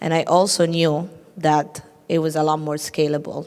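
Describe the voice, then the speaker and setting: Speaking with a non-native accent, a woman has a very deep, low pitch. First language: not English. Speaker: tech entrepreneur, panelist. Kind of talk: panel discussion.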